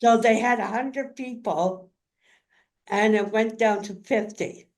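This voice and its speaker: A woman has an ordinary speaking voice, fairly high in pitch. She speaks at a fairly slow pace with fairly even intonation. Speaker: community advocate and caregiver in a wheelchair. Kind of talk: interview, personal story.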